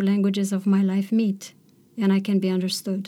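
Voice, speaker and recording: A woman speaks with a Romanian accent at a medium pitch. Her pace is moderate. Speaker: poet and professor. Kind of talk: interview and lecture excerpts.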